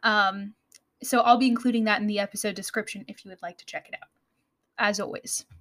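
Very fast speech with an American accent, ordinary pitch variation, big swings in loudness and a dry, close sound with no echo. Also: woman, fairly high pitch for a woman. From United States. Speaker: podcast host. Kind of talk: scripted educational podcast narration.

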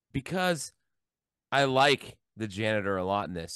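A man's voice swings very widely in pitch. The background is quiet. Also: dry, close sound with no echo. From US Midwest (Columbus, Ohio). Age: 40s. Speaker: film podcast co-host. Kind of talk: casual chat.

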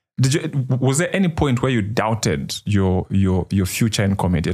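Lively intonation and a moderate pace mark this man's speech. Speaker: podcast host. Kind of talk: podcast interview. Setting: studio. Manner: hesitant with many fillers.

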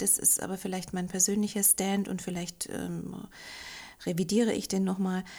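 Vocal fry runs through a woman's dark, mellow voice as she speaks at a moderate pace in monotone, flat intonation. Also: medium pitch for a woman. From Austria, Linz. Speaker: hypnotherapist. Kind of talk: casual interview.

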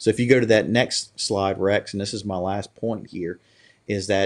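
Fairly low in pitch, a man speaks with a Louisiana accent. His intonation is fairly even against a quiet background. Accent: rural Louisiana Southern American. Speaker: political candidate and grocery business owner. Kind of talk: interview.

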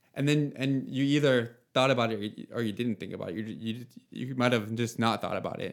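Here is an ordinary speaking voice from a man at medium pitch. He moves at a fairly quick pace with fairly even intonation. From Nova Scotia, Canada (Yarmouth area). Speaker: app founder talking about anxiety. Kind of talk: casual chat.

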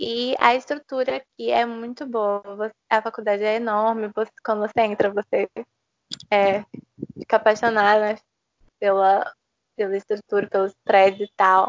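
A woman speaks at a moderate pace with long, frequent pauses. Her pitch is fairly high and her intonation fairly even. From Brazil, Recife (Pernambuco). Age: 20s. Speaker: law student. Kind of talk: interview. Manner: halting, many fillers.

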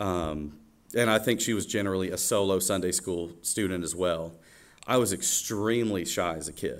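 A man with a Southern US accent speaks at a very deep, low pitch and a moderate pace. His pitch variation is ordinary, with audible room echo around him. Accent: Southern US (Georgia). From US South, Georgia (Oconee County). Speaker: church worship leader. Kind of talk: testimony. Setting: church stage with congregation.

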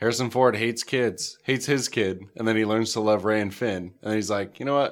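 Speaking fairly quickly with fairly even intonation, a man with an American accent has an ordinary speaking voice at a medium pitch. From northern New York. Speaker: podcast host. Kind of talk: casual chat.

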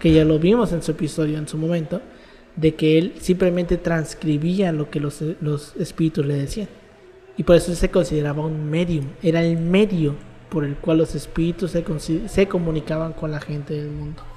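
Someone with a Mexican accent speaks at a moderate pace over noticeable background noise. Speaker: university student, podcast host. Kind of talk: casual chat.

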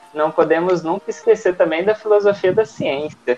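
The speaker talks at a moderate pace with ordinary pitch variation, noticeable background noise behind them. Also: woman. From Brazil, Minas Gerais (Uberlândia). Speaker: paleontologist. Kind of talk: podcast interview.

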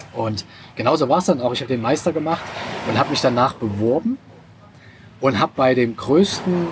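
There's noticeable background noise behind this man. He talks at a medium pitch with lively intonation. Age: 40s. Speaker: online entrepreneur. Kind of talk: casual chat. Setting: restaurant by the sea.

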